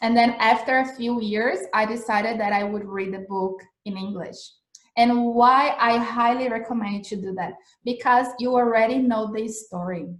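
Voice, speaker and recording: A woman with a Portuguese accent, fairly high pitch, fairly even intonation, big swings in loudness and audible room echo. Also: moderate pace. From Brazil. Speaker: English teacher. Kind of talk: live-streamed lesson. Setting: Instagram livestream. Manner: casual, filler-heavy.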